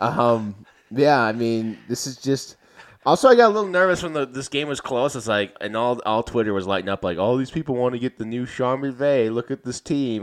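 Lively in intonation, a man of medium pitch moves at a fairly quick pace in a plain, everyday voice. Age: 20s. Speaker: sports podcast host. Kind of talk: casual chat.

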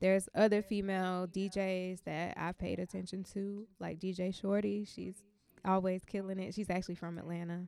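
A woman speaks with an American accent at a medium pitch. Her intonation is flat and monotone. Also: moderate pace. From US South. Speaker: DJ. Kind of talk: interview.

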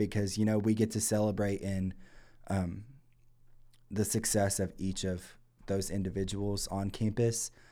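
A man with a fairly low pitch and a dark, mellow tone speaks at a moderate pace in a flat monotone, with long, frequent pauses, on a very clean recording with a silent background. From eastern Kentucky. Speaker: college student guest. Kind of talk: casual chat.

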